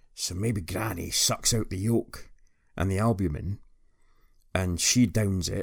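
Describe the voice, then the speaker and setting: Against a silent background in a very clean recording, a somewhat breathy man with a fairly low pitch speaks fairly slowly with fairly even intonation. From northeast Scotland. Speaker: podcast host. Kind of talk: recorded guest segment.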